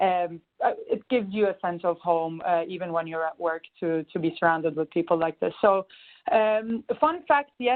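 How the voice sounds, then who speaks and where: Here a woman speaks. Her pace is moderate. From Turkey, Istanbul. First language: Turkish. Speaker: management consultant. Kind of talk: webinar introduction. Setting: conference call.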